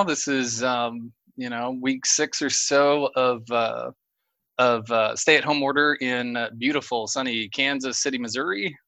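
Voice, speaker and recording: His tone is bright and sharp. The man speaks with a slight Oklahoma accent. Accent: slight Oklahoma twang. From rural Oklahoma. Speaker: mechanical engineer. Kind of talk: casual interview. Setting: remote recording.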